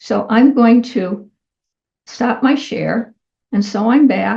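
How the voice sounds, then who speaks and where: A woman at a very slow pace, fairly high in pitch, with fairly even intonation and vocal fry. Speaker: tech tutorial host. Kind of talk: tutorial. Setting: screen-share video recording. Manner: casual, conversational.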